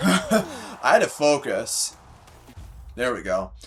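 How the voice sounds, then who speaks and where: A man speaks at a fairly high pitch while music plays in the background. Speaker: gaming streamer. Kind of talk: casual gaming stream chat. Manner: loud; rambling with many fillers.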